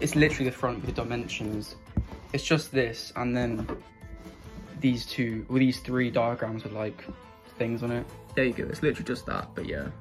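A moderate pace broken by long, frequent pauses, with clear music in the background. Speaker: hobbyist reviewer. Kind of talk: casual unboxing commentary. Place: home room. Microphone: phone near.

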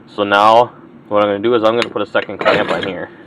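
Over noticeable background noise, a man speaks at a fairly low pitch with fairly even intonation, the sound dry with no echo. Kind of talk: tutorial. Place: workshop. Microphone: phone near.

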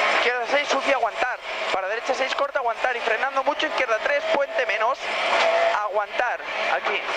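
Loud background noise runs beneath speech delivered at a fairly quick pace. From Spain. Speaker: rally co-driver. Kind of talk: rally co-driver reading pace notes. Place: car. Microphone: headset.

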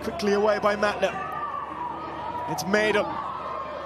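A man talks while noticeable noise runs in the background. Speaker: football commentator. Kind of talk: live match commentary. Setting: match broadcast. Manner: clipped, urgent calls.

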